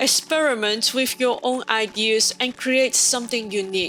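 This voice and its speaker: Against noticeable background noise, a woman with a non-native accent speaks at a fairly high pitch. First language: not English. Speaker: home baker, cooking video host. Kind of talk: scripted narration. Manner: formal.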